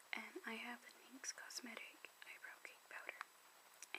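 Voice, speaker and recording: A woman whispers at a very slow pace, with noticeable noise in the background. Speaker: ASMR creator. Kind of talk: ASMR makeup show and tell. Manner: soft-spoken, whispering.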